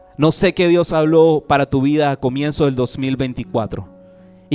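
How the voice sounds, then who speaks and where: A fairly high-pitched man with music in the background, the sound dry and close with no echo. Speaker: pastor. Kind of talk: sermon. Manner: repetitive emphatic delivery.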